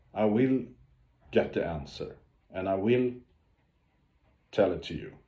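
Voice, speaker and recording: Very slowly, a man speaks in a fairly low pitch with a dark, mellow tone and lively intonation, with audible room echo around him. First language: Swedish. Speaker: ocean explorer and diver. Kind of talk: video update to followers. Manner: halting, many fillers.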